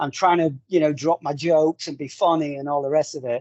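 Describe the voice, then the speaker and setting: This man has a Northern English accent. He speaks at a fairly quick pace. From northern England. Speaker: corporate trainer and webinar host. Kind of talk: panel discussion in an online webinar.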